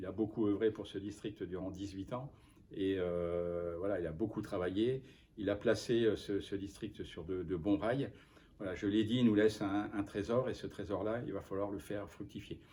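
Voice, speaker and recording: The speaker keeps a moderate pace and a fairly even intonation. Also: man, fairly low pitch for a man. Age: 60s. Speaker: football official. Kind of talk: interview. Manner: halting.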